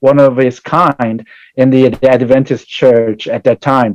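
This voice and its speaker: A man speaks at a medium pitch with a Korean accent, his dark, mellow tone carried at a fairly slow pace in a dry, close sound with no echo. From South Korea. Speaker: pastor and church community services director. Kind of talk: interview. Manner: halting.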